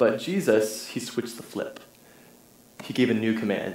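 A man talks at a moderate pace. Room echo is audible around his voice. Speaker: preacher. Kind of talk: sermon. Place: church.

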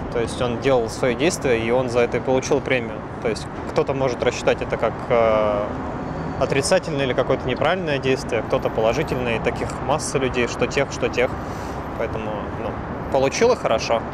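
The speech moves at a fairly quick pace over loud background noise, with a dry sound and no echo. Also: man. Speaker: interviewee. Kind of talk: interview answer. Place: street.

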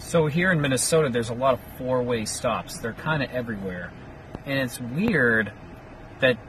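A man talks over noticeable background noise, the recording dry with no echo. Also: ordinary pitch variation, moderate pace. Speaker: vlogger. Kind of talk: casual vlog chat. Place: car. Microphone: phone near.

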